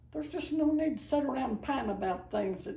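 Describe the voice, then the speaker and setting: A woman with very wide pitch swings, amid noticeable background noise and audible room echo. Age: 80s+. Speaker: grandmother sharing life advice. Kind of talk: casual chat.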